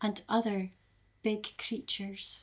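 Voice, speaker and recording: A woman with an Aberdeen accent. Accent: Aberdeen Scottish. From Scotland, Aberdeen. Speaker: storyteller. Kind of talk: live storytelling. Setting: live online storytelling event.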